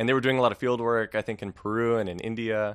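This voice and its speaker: Over a quiet background, a man with an American accent speaks at a fairly low pitch. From US West Coast, Los Angeles. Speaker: biologist, PhD student. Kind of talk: interview.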